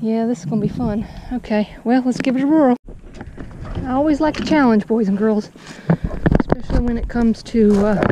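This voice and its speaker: With a dry sound and no echo, a woman speaks at a fairly quick pace with ordinary pitch variation over noticeable background noise. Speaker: fishing vlogger. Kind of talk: casual vlog chat. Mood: amused, cautious. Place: waterside. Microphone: phone near.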